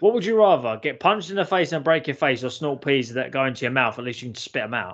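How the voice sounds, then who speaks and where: A man with a London accent talks at a very fast pace. His intonation is lively. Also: fairly high pitch for a man, quiet background. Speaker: podcast co-host. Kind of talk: casual banter. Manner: crude, jokey.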